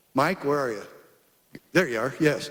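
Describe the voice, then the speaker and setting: Audible room echo surrounds a man as he talks. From Arizona. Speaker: former sheriff, public speaker. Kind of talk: conference speech. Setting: stage with audience. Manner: animated.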